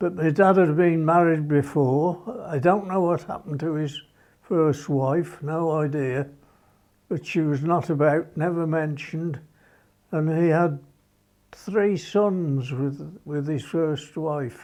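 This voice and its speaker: A man in a Birmingham accent speaks very slowly at a fairly high pitch with fairly even intonation. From England, Birmingham. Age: 80s+. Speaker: former motorcycle racer. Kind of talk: documentary interview. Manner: halting.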